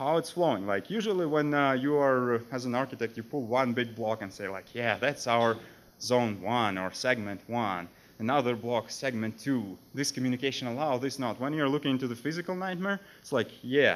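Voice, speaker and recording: A man with a non-native accent talks at a moderate pace, medium pitch and ordinary pitch variation. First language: not English. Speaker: security architect. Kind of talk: conference talk.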